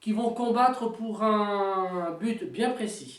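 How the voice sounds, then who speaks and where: A woman speaks at a very slow pace. Her voice sits fairly high and varies in pitch in an ordinary way. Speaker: tabletop wargame hobbyist. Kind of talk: casual talk to camera. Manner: hesitant, many fillers.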